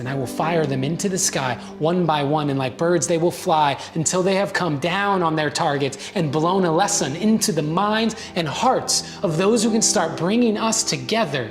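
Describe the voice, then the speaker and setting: Music plays in the background as a man speaks at a moderate pace. His pitch is high, with ordinary pitch variation. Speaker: spoken word poet. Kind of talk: spoken word poetry performance. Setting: live event stage.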